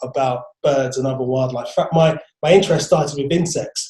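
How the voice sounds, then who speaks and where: A man with a London accent, a fairly high pitch, a somewhat breathy quality and a dark, mellow tone. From London, Wembley (northwest London). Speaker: urban birder, broadcaster and speaker. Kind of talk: online presentation talk. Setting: video call.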